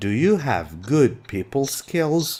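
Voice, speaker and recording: Here a man speaks in a dark, mellow tone. His pace is very slow. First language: Arabic. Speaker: English teacher. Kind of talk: lecture. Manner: slow, clear explanatory.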